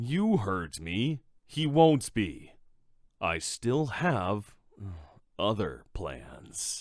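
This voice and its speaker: A man's put-on character voice, fairly low in pitch with very wide pitch swings, at a very slow pace full of long, frequent pauses, on a very clean recording with a silent background. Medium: audio drama. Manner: cold, menacing.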